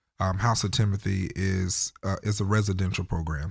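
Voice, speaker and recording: A man with an American accent speaks at a fairly low pitch, somewhat breathy and monotone with flat intonation, in a dry, close sound with no echo on a very clean recording with a silent background. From North Carolina. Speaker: youth ministry founder. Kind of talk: interview.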